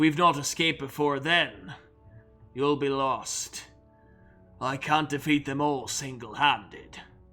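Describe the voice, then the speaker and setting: A man uses a raspy, fairly high put-on character voice, speaking fairly slowly with long, frequent pauses as faint music plays in the background. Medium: actual play. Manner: grim, formal.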